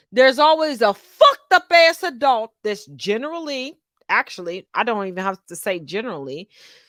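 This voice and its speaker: Animated and moderately paced, a woman with a fairly high pitch makes very wide pitch swings and big swings in loudness in a very clean, silent recording with a dry, close sound and no echo. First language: not English. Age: 40s. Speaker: podcast co-host. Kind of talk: casual chat.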